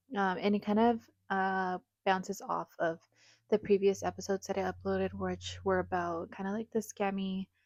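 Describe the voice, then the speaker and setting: A woman at a moderate pace, dry and close with no echo, against a quiet background. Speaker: podcast host and esthetician. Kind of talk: casual podcast monologue. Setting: studio during working hours.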